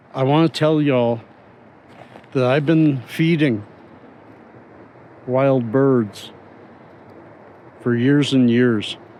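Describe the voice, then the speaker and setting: A man speaks at a very slow pace, with long, frequent pauses. His loudness stays very even and his intonation is fairly even. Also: medium pitch for a man. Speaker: vlogger. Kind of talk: casual outdoor vlog. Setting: outdoors by a river in a park. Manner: pauses often, stalls in speech.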